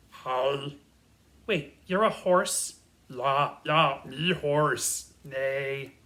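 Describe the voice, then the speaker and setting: A man adopts a put-on character voice, pitched fairly high and drawn out at a very slow pace. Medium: read story.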